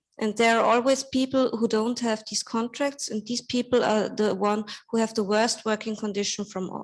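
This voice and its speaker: With a non-native accent, the speaker talks in a monotone, flat intonation with hardly any pauses. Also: woman, fairly high pitch for a woman. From Austria. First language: German. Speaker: labor market expert and campaign speaker. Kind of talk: panel discussion talk. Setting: panel with audience. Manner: careful, deliberate; hesitant, many fillers.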